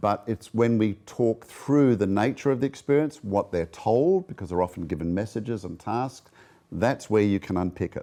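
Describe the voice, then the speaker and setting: This man has a fairly low pitch and a dark, mellow tone. He speaks at a moderate pace with lively intonation. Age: 60s. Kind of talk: interview.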